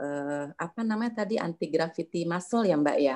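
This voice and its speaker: Lively intonation carries this fairly quick speech. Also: woman. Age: 60s. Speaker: yoga teacher trainee. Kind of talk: testimony. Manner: halting.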